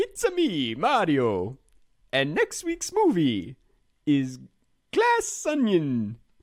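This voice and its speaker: A put-on character voice in an Italian accent moves at a very slow pace, broken by long, frequent pauses. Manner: bouncy, cartoonish.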